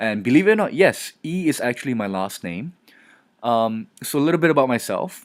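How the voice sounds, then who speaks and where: Over a very clean recording with a silent background, a man at medium pitch talks at a fairly quick pace with very wide pitch swings. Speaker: marketing analyst, guest lecturer. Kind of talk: recorded lecture. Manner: casual, filler-heavy.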